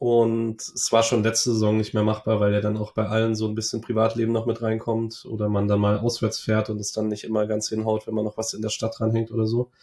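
Here a man talks at a very fast pace, with hardly any pauses. His voice has a dark, mellow tone, a medium pitch and monotone, flat intonation. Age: 20s. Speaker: football fan podcaster. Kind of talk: casual interview chat.

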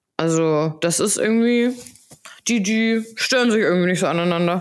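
A woman with a slight Hamburg accent keeps a very even loudness while her pitch varies in an ordinary way. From Hamburg, northern Germany. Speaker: podcast co-host. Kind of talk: casual chat.

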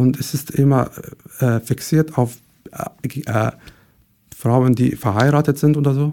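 A man with a Syrian accent has a dark, mellow tone at medium pitch. He talks at a fairly slow pace with fairly even intonation and long, frequent pauses. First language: Arabic (speaking German). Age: 20s. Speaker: podcast guest. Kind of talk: personal testimony. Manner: halting, searching for words.

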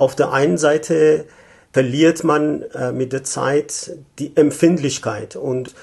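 A man with a Persian accent speaks at a very slow pace, his pitch fairly high with ordinary variation. His tone is dark and mellow and somewhat breathy. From Iran, Tehran. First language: Persian (speaking German). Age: 50s. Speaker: economic consultant. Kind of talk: interview. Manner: hesitant, many fillers.

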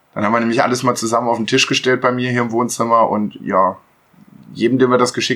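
His intonation stays monotone and flat. The man delivers his words at a very fast pace. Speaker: podcast co-host. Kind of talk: casual chat. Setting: sharing one mic with others at home.

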